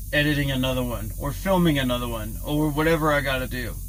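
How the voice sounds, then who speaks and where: A man speaks in a flat monotone at a fairly high pitch. Noticeable background noise and audible room echo fill the recording. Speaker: trucker vlogger. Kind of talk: casual vlog talk to camera. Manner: mumbling, stumbling; halting, stuttering.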